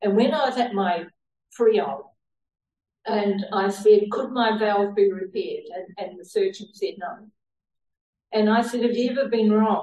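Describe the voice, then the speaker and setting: At a fairly slow pace with long, frequent pauses, the voice has a dark, mellow tone, is somewhat breathy, and shows ordinary pitch variation. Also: woman, fairly high pitch for a woman. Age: 70s. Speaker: lay preacher. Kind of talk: sermon. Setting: church.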